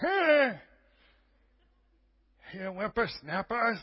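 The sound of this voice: A put-on character voice with very wide pitch swings. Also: man, extremely high pitch for a man.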